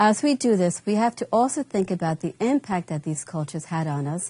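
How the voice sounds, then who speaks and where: Recorded dry and close with no echo against a quiet background, a woman speaks at a medium pitch in a dark, mellow, somewhat breathy tone with lively intonation. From Long Island, New York (born in Colombia). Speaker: teacher. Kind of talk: scripted narration. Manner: formal.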